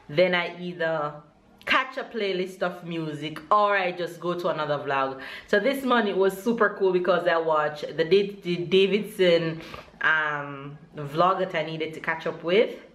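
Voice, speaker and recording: In a plain, everyday voice, the speaker goes at a fairly slow pace with ordinary pitch variation. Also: woman, fairly low pitch for a woman. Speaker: vlogger. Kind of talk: casual vlog chat. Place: home room. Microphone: phone near.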